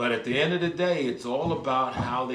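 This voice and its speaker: A man with an American accent talks at a moderate pace and a medium pitch. His tone is animated, and room echo is audible. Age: 50s. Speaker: politician, former mayor. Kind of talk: interview. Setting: stage.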